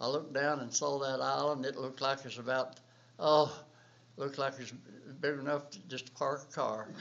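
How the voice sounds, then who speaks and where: In a north Georgia accent, a man speaks with monotone, flat intonation. His loudness swings widely, and he leaves long, frequent pauses. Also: fairly high pitch for a man, moderate pace. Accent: Southern US, north Georgia. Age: 80s+. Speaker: war veteran. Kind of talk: oral history interview. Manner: halting.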